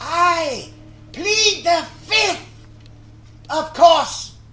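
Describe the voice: A man puts on a character voice pitched extremely high. Background noise is clearly present.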